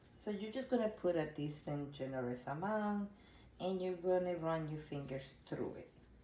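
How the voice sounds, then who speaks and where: A woman's fairly low voice with lively intonation and audible room echo. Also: moderate pace. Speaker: doll collector and restorer. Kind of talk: tutorial. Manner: casual, occasionally stumbling over words.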